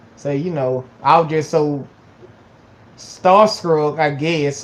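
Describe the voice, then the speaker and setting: With a Georgia accent, this man speaks at a fairly high pitch and with fairly even intonation. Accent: Southern US (Georgia). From US South, Georgia. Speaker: YouTuber. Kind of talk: casual vlog talk. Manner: halting, many fillers and repetitions.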